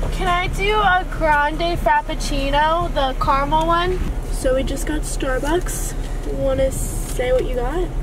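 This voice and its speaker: A woman's fairly slow speech in a dry sound with no echo, over noticeable background noise. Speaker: vlogger. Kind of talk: casual vlog chat. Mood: relaxed, upbeat. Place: car. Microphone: phone near.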